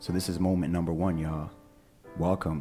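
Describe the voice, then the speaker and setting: A man is speaking. Music plays in the background. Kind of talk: podcast host welcoming listeners and opening with an affirmation.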